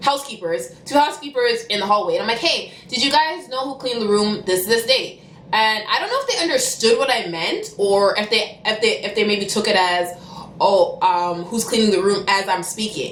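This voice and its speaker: Lively intonation from a woman with a fairly high pitch, against noticeable background noise. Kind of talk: casual story time to camera. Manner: fast.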